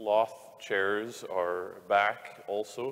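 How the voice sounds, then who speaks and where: This is a man speaking. His pitch sits fairly low. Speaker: priest. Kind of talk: announcements to congregation. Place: church.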